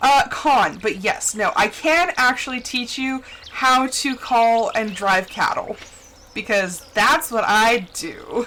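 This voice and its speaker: A woman with a Midwestern American accent speaks at a high pitch with lively intonation. Noticeable background noise runs under her voice. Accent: plain middle American, little. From middle America. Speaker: gaming streamer. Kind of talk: casual chat. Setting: live stream.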